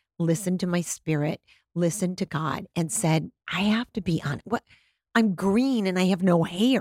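A woman talks at a moderate pace and medium pitch, animated in tone with ordinary pitch variation. The sound is dry and close with no echo, on a very clean recording with a silent background. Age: 60s. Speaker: beauty expert and TV personality. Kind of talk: casual chat.

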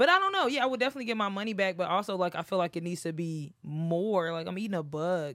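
Speaking at a very fast pace with lively intonation and hardly any pauses, the voice comes through noticeable background noise. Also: woman, medium pitch for a woman. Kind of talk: casual chat.

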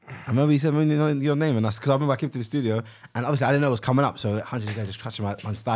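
A man speaks very fast in a London accent. His voice sits at medium pitch with ordinary pitch variation. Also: hardly any pauses. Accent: London Multicultural English. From South London. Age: 20s. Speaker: podcast co-host and YouTuber. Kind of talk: casual chat. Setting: studio.

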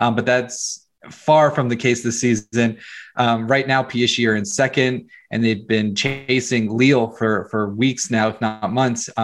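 A man with an unremarkable speaking voice talks at a fairly slow pace and medium pitch with fairly even intonation. The recording is very clean, with a silent background. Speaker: PSG fan site founder. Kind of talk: interview analysis.

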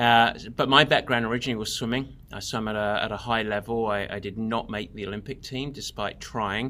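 Over a silent background in a very clean recording, a man with an English accent talks fairly quickly in a bright, sharp tone at a medium pitch, his intonation fairly even. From England. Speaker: endurance coach. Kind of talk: interview.

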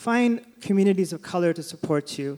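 This is a man's voice. He speaks with a Californian accent. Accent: Californian American. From California, Sacramento. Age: 40s. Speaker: writer and podcast co-host. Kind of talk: live interview on stage. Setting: theater stage with audience.

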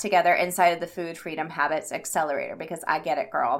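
A woman talks at a fairly quick pace in an enthusiastic tone. Her voice is bright and sharp. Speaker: health habits coach and podcast host. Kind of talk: solo podcast monologue. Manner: fast.

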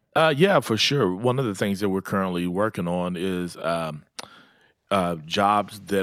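A man with an Oklahoma accent speaks at a moderate pace in a very deep, low pitch, with ordinary pitch variation. The recording is very clean with a silent background, and the sound is dry and close with no echo. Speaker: pastor. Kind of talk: radio interview. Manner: halting.

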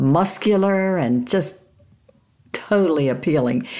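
The woman talks at a very slow pace, her pitch varying in an ordinary way. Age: 80s+. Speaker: author. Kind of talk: casual chat.

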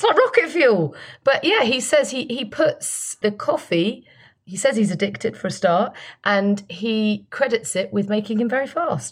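In a British accent, a woman with a fairly high, somewhat breathy voice speaks at a moderate pace with lively intonation on a very clean recording with a silent background. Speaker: broadcaster and podcast co-host. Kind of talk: casual podcast chat.

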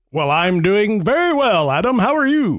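A man uses a put-on character voice pitched high. His pitch swings very widely. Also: moderate pace. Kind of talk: broadcasting voice.

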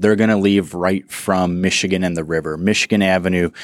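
A man with an American accent talks at a moderate pace in an unremarkable speaking voice with fairly even intonation. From Chicago, US Midwest. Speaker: city tourism director. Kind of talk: casual interview. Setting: studio.

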